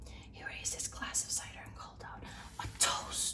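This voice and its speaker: A woman whispers at a moderate speed while noticeable background noise continues. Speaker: ASMR content creator. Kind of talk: ASMR book reading. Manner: whispered, soft.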